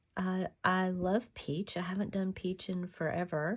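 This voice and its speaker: A woman speaks at a fairly slow pace in a somewhat breathy, medium-pitched voice, on a very clean recording with a silent background. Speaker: craft video maker. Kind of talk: tutorial. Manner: halting.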